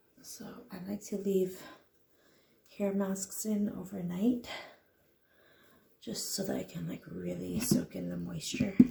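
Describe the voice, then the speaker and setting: A woman talks quietly and fairly slowly, with big swings in loudness. Her pauses are long and frequent. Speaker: DIY hair vlogger. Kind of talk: casual vlog tutorial. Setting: at home at night. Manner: quiet, hushed.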